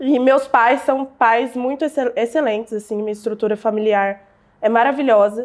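An ordinary speaking voice from a woman, moderate in pace, fairly high-pitched and fairly even in intonation. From Brazil, southern Minas Gerais. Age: 20s. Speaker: digital entrepreneur. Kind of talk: interview storytelling.

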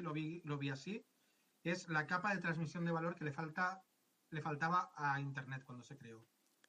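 A man's fairly high, bright, sharp voice at a moderate pace. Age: 50s. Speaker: tax adviser. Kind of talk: interview.

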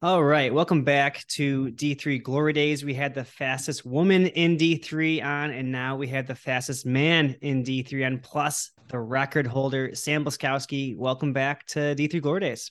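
A man with an ordinary speaking voice and fairly high pitch talks at a fairly slow pace with fairly even intonation and hardly any pauses. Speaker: podcast co-host interviewer. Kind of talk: casual interview chat.

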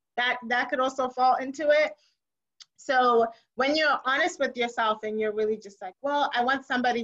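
Her pitch is high and its variation ordinary as the woman speaks at a moderate pace. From Zimbabwe. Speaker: guest. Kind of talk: casual chat. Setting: Indianapolis, US.

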